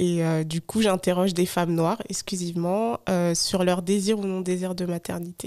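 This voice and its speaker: A woman speaks at a moderate pace with hardly any pauses. Her fairly low voice has a dark, mellow tone and monotone, flat intonation. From France, Haute-Savoie. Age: 30s. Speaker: podcaster and digital consultant. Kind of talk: podcast interview. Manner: hesitant, many fillers.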